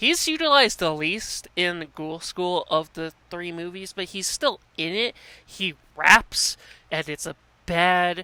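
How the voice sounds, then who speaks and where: At a very slow pace, the voice comes through a very clean recording with a silent background. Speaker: YouTube movie reviewer. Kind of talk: casual video monologue, movie reviews. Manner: casual with fillers and stumbles.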